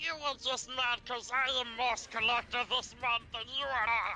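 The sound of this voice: Over clear background music, a put-on character voice with fairly high pitch moves at a moderate pace.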